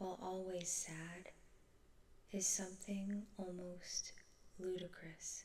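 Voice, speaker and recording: Soft-spoken, this voice moves along at a very slow pace. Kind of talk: book quote reading.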